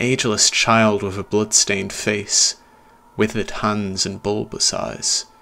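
A natural voice reading aloud

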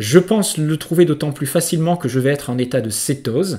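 A man's voice is somewhat breathy, with a dark, mellow tone. He speaks at a fairly quick pace with ordinary pitch variation. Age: 50s. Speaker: naturopath and trainer. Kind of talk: educational monologue.

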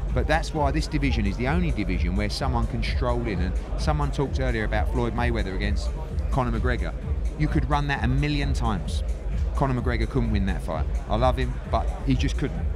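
A man talks at a fairly quick pace. Music plays behind him. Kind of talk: interview answer. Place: hall. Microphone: handheld.

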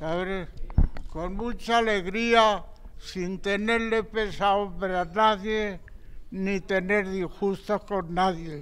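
This man talks at a very slow pace. His voice is high and his intonation fairly even. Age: 80s+. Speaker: centenarian; interviewee. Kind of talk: interview. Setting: seniors' centre. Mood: grateful, warm, reflective. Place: hall. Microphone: handheld.

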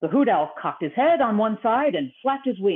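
Unforced voice for reading aloud

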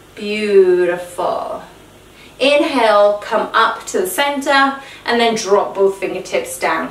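A woman speaks, with audible room echo around her voice. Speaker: fitness instructor. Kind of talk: exercise class instruction. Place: home room. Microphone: camera far.

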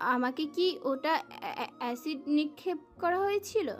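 Against clear background noise, a shaky put-on character voice moves at a moderate pace with ordinary pitch variation. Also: woman, extremely high pitch for a woman.

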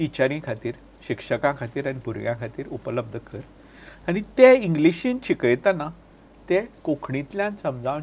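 A man's voice is fairly high in pitch and somewhat breathy. His intonation is lively, with big swings in loudness. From Goa. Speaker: writer and entrepreneur; interview guest. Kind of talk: interview. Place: studio. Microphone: lapel.

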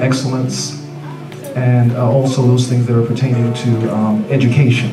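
Music plays clearly behind the speaker. He is a man who keeps to a moderate pace. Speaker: minister at service. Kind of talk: church announcement. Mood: proud, celebratory. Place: church.

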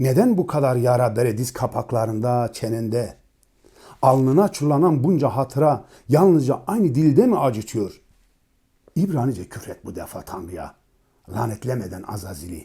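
On a very clean recording with a silent background, a man with a dark, mellow tone and medium pitch speaks at a moderate pace, somewhat breathy, with lively intonation. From eastern Turkey, Dersim. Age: 40s. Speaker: poet and musician. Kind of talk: poetry reading.

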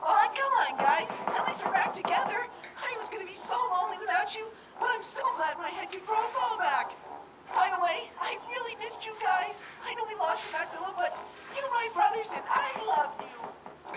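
A put-on character voice sits at an extremely high pitch. Loud background noise runs underneath. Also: moderate pace. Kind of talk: comic fan dub. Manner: gushing, sweet, pleading.

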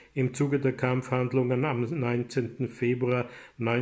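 The recording consists of plain reading aloud.

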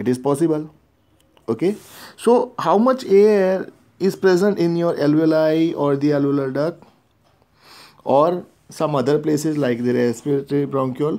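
With a Gujarati accent, a man with a fairly high pitch and a dark, mellow tone speaks in lively intonation, leaving long, frequent pauses. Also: moderate pace, very clean recording, silent background. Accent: Indian English (Gujarati). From India (Gujarat, Ahmedabad). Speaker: teacher. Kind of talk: lecture. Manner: repetitive filler okay.

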